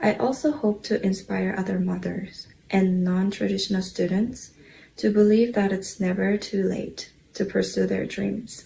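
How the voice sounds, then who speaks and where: Someone speaks with a Korean accent. The pace is fairly slow. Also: woman. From South Korea. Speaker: scholarship recipient, dental hygiene student. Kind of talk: prepared speech. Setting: luncheon with audience.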